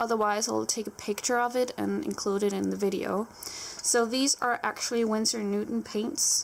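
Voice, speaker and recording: Against noticeable background noise, a woman speaks at a moderate pace and fairly high pitch with fairly even intonation. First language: Danish. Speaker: art YouTuber. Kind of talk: live voiceover tutorial. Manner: casual, spontaneous.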